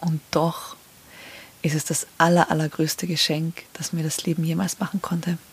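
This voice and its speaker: A woman speaks in a monotone, flat intonation over noticeable background noise. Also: fairly low pitch for a woman, moderate pace. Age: 30s. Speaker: podcast host. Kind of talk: personal monologue.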